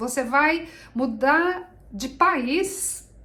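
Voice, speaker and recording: A woman with a Brazilian accent speaks in a high voice with very wide pitch swings, and there is audible room echo. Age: 60s. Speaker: vlogger. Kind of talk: casual chat.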